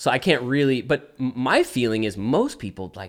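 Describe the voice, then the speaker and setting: A man with an American accent speaks at a moderate pace in an ordinary speaking voice, his fairly low pitch carried by lively intonation. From Texas, Dallas. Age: 30s. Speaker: church planter. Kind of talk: casual chat. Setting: home studio in garage.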